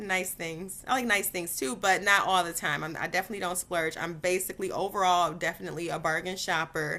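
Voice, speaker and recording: A woman with an American accent speaks in a fairly low pitch, her tone bright and sharp. The recording is very clean, with a silent background. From Detroit, Michigan. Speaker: vlogger and former teacher. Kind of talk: casual Q&A vlog. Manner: chatty, many fillers.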